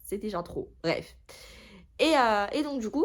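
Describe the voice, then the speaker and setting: In a very clean recording with a silent background, a woman speaks at a very slow pace. Her pitch swings very widely. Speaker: booktuber. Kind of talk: casual vlog chat. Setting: at home. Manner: hesitant, many fillers.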